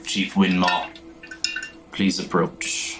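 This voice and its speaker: A man puts on a character voice with a very deep, low pitch. Background noise is clearly audible. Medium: actual play.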